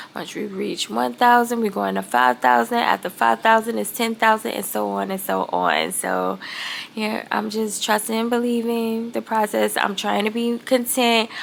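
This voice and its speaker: This woman speaks in a relaxed tone at a moderate pace. Noticeable background noise sits behind her voice. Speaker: vlogger. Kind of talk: casual vlog talk. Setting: at home. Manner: relaxed, filler-heavy.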